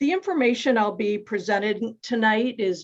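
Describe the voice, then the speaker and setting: Ordinary pitch variation in a woman's voice. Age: 60s. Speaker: psychotherapist. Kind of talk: presentation. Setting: video call. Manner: calm.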